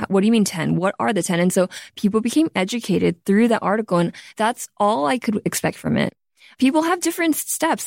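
In a very clean recording with a silent background and a dry, close sound with no echo, a woman speaks at a moderate pace with vocal fry, very wide pitch swings and very even loudness. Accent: American. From US West Coast, Los Angeles. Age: 30s. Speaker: beauty entrepreneur. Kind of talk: interview conversation.

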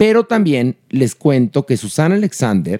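A man's fairly high voice with a dark, mellow tone and very wide pitch swings, at a fairly slow pace, in a dry, close sound with no echo. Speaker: podcast host. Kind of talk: casual chat.

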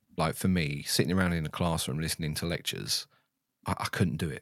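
With a southern English accent, a man speaks at a very deep, low pitch with vocal fry in a very clean recording with a silent background. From England, Stevenage, Hertfordshire. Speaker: ex-F1 systems engineer turned content creator. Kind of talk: casual chat.

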